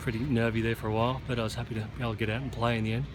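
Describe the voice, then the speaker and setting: A man talking at a very fast pace in an Australian accent, with audible room echo and noticeable background noise. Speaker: golf teaching pro. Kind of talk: post-round interview. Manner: halting, many fillers.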